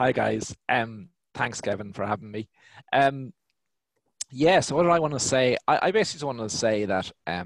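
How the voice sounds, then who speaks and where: A man talks at a moderate pace with lively intonation. The sound is dry, with no echo. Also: medium pitch for a man, quiet background. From Ireland. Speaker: business owner; guest. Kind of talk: panel discussion. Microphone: headset.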